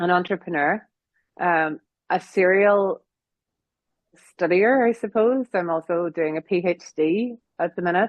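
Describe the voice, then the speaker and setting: Speaking at a fairly slow pace with long, frequent pauses, a woman with a Northern Irish accent talks at a medium pitch with ordinary pitch variation. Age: 40s. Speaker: piano teacher and music academy founder. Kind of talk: interview.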